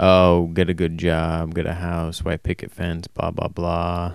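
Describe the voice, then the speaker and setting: A man talks at a moderate pace in a nervous tone, his pitch very deep and low. The recording is very clean, with a silent background. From Anchorage, Alaska. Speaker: amateur podcaster aspiring comedian. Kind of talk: solo casual rambling podcast. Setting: home, recording alone. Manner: monotone, nervous, halting; rambling, unscripted, with fillers.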